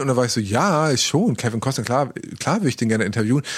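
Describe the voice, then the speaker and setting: Very fast and with lively intonation, a man talks in a medium pitch. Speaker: podcast co-host, radio presenter. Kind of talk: casual chat. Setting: recording from home, remote. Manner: gets louder to make a point.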